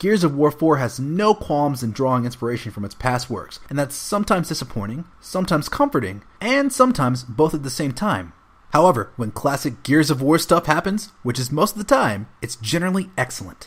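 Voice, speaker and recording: This man's voice is somewhat breathy and moves at a fairly quick pace. His pitch swings very widely. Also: fairly high pitch for a man. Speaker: voice actor. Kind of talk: video game review narration.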